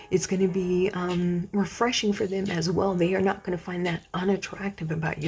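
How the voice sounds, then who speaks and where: Noticeable background noise surrounds the speaker. She is a woman with a fairly low pitch. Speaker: tarot card reader. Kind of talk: pick-a-card tarot reading. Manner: casual, with many fillers.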